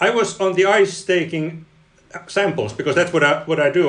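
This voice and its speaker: Through noticeable background noise, a man with a Finnish accent speaks at a fairly quick pace. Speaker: engineering professor and ice researcher. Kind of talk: interview. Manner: halting, many repeated words.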